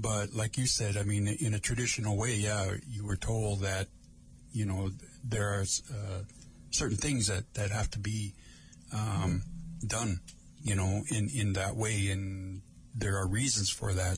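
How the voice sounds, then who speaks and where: The voice is somewhat breathy, with fairly even intonation. It moves at a fairly slow pace with long, frequent pauses. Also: man, fairly low pitch for a man, very even loudness. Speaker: community radio host. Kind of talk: live radio talk show. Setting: radio studio. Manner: casual.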